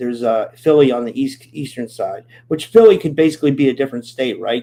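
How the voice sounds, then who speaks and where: In a Pittsburgh accent, someone talks at a fairly quick pace with a dark, mellow tone and ordinary pitch variation. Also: man. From Pittsburgh, Pennsylvania, US. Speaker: podcast host. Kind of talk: live stream chat with viewers. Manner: casual, halting with many fillers.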